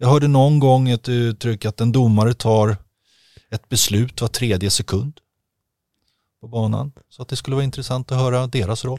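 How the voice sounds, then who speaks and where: Recorded with a dry, close sound and no echo, a man with an ordinary speaking voice talks at a moderate pace, with medium pitch and fairly even intonation. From Stockholm, Sweden. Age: 50s. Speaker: ice hockey equipment manager. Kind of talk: casual chat. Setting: studio.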